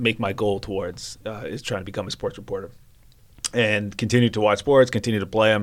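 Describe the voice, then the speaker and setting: A man talks in a normal speaking voice at a fairly quick pace. He has a Canadian accent and fairly even intonation. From Vancouver, Canada. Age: 30s. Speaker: sports reporter. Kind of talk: casual chat.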